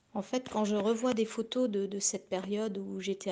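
A woman's dark, mellow voice carries fairly even intonation over a quiet background. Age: 40s. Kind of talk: recorded testimony. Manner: halting, many repetitions.

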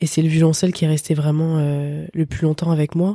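A woman's voice comes through dark, mellow and somewhat breathy, at a fairly low pitch. The sound is dry and close with no echo. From France, Paris region. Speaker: electronic music producer and DJ. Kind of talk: casual interview.

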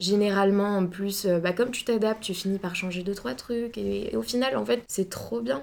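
A woman talks in an unremarkable speaking voice, her medium pitch showing ordinary variation as she keeps a moderate pace. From Bordeaux, France. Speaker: fashion student. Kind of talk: casual interview.

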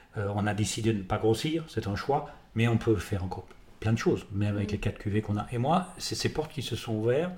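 A man's medium-pitched, somewhat breathy voice at a very fast pace. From France. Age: 60s. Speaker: winemaker, former business lawyer. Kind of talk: interview. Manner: halting, repeats words.

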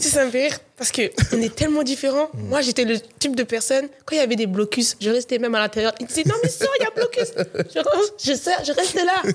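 Over noticeable background noise, a woman speaks at a fairly quick pace and a high pitch, her voice making very wide pitch swings. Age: 20s. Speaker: content creator. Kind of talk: casual chat.

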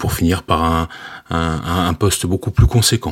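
A man with a very deep, low voice, ordinary pitch variation, and a moderate pace. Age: 40s. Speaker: railway safety manager. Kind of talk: interview. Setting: remote call. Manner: halting, many fillers.

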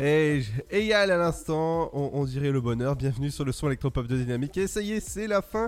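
A man with a fairly high pitch speaks at a fairly quick pace with hardly any pauses. His tone is upbeat and his intonation lively. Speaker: radio host. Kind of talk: radio dj patter. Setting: studio. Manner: upbeat, chatty, punchy radio-jingle energy.

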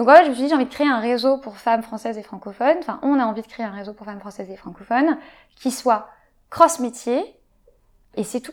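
Talking at a very fast pace yet with long, frequent pauses, a woman uses a high pitch, ordinary pitch variation and big swings in loudness. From Paris, France. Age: 20s. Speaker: entrepreneur and sexologist. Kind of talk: interview conversation. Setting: at home.

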